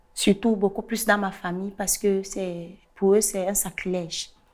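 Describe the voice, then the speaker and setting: Delivery is very slow, in a monotone, flat intonation. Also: woman. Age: 30s. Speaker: guest sharing personal story. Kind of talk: testimony. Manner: halting, repeats words.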